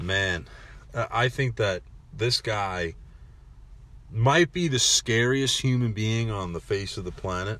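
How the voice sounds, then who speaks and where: Fairly low in pitch with ordinary variation, a man speaks on a very clean recording with a silent background. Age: 20s. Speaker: sports podcast host. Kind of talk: solo sports podcast monologue. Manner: casual, conversational.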